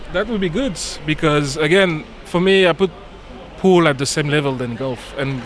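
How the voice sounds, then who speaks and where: A man speaks in a French accent over noticeable background noise. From French Caribbean island. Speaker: billiards industry guest. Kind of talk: casual chat during live commentary.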